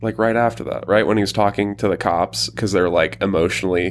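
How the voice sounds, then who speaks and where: A man with a fairly low pitch and vocal fry talks at a fairly quick pace, his pitch varying in an ordinary way. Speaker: podcast co-host. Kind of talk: casual chat.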